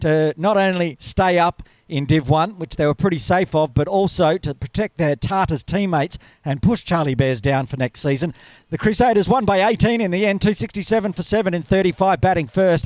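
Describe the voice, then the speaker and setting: A man speaks at a fairly quick pace in a high pitch. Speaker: podcast host. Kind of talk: sports podcast recap. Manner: fast.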